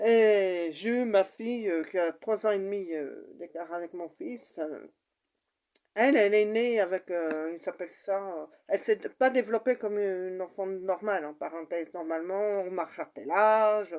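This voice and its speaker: Recorded very cleanly against a silent background, a woman speaks at medium pitch with ordinary pitch variation and a fairly slow pace. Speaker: mother sharing personal story. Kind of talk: personal testimony. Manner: halting, many fillers.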